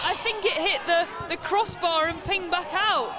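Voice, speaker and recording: Light background noise accompanies a dry sound that has no echo. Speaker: football match commentator. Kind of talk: live football commentary, highlights voiceover. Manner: breathless play-by-play delivery. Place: stadium.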